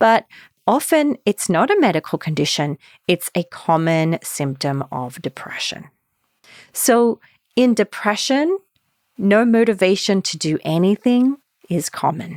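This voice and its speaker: Calm in tone, a woman at medium pitch makes very wide pitch swings and takes long, frequent pauses, captured in a very clean recording with a silent background and a dry, close sound with no echo. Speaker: marriage and family therapist, anxiety specialist. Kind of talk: podcast talk. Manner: calm, centered.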